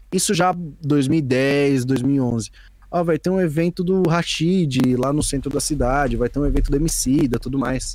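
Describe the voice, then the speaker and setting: A man has a normal speaking voice with a fairly high pitch and ordinary pitch variation. His loudness is very even, and his pace is fairly slow. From São Paulo, East Zone (Brazil). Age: 20s. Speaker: beatmaker and music producer. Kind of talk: casual interview chat. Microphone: poor audio in first ten minutes.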